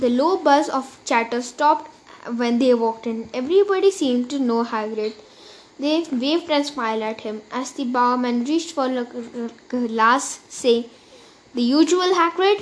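Lively in intonation, a woman with a high pitch talks at a moderate pace. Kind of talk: literary audiobook reading, narrated story with character voices for Harry and Hagrid. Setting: recorded audiobook.

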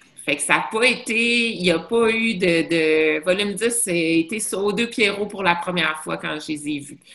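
A woman talks very slowly, her intonation lively. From Montreal, Quebec. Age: 40s. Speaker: bar owner. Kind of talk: casual chat. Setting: video call.

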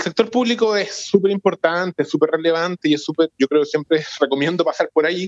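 A man's normal speaking voice, fairly quick in pace, with ordinary pitch variation and a dry, close sound with no echo. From Santiago, Chile. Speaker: foundation executive director. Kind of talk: interview.

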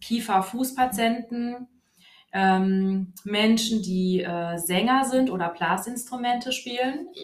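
A somewhat breathy woman's voice, fairly high in pitch, at a very slow pace. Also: ordinary pitch variation. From Hesse, Germany (Wiesbaden). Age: 30s. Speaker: physiotherapist. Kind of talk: interview. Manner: hesitant, many fillers.

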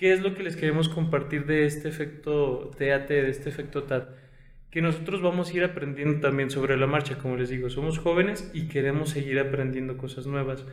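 At a fairly quick pace, a man with a fairly high voice talks with fairly even intonation, and room echo is audible. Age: 20s. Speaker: podcast host and consultant. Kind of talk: casual chat.

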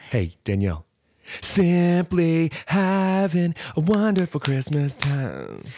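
A man's high, dark and mellow voice at a very slow pace, with lively intonation. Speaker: comedy podcast co-host. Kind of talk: casual comedic banter. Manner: animated, joking.

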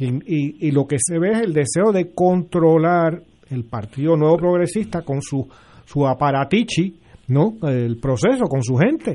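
With lively intonation and a dark, mellow tone, a man talks at a fairly slow pace in a fairly high pitch. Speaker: political panelist. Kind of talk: political panel discussion.

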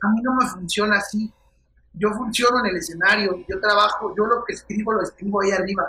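Projecting his raised voice, a man talks at a fairly quick pace with a high pitch. His intonation stays fairly even. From Mexico, Querétaro. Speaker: comedian. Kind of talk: casual chat. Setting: video call.

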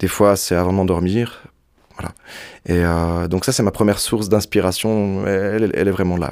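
Fairly quick and with fairly even intonation, a plain, everyday voice speaks. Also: man. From French-speaking Switzerland, Montreux area. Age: 20s. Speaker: singer. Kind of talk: interview. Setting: studio.

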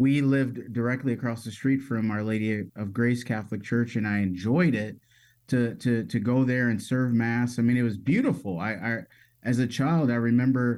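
An unremarkable speaking voice from a man at medium pitch, fairly even in intonation and moderate in pace, on a very clean recording with a silent background. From Metro Detroit, Michigan. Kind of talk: casual interview.

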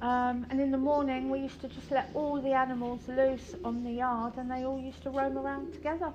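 A woman speaks in a London accent with a high pitch, a monotone, flat delivery and hardly any pauses. Noticeable background noise and audible room echo fill the recording. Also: fairly quick pace. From London (Kentish Town). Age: 50s. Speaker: riding instructor. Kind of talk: interview reminiscence.

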